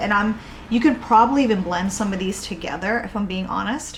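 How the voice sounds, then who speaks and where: Noticeable background noise and audible room echo surround this recording. A woman with an American accent speaks in an animated tone. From Boston, New England. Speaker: candle maker and YouTuber. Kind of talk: casual product review.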